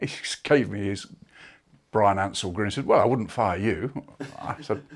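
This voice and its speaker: Here a man talks with an English accent. His pitch is fairly low, with ordinary pitch variation. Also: moderate pace, very clean recording, silent background. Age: 60s. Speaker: former retail executive. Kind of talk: interview. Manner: hesitant, many fillers.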